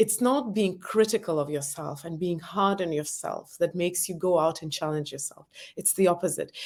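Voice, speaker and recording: A woman speaks at a moderate pace and medium pitch, with a non-native accent. Her pitch varies in an ordinary way, while her loudness swings widely. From former Soviet Union. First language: not English. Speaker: author and entrepreneur. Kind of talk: interview. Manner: hesitant.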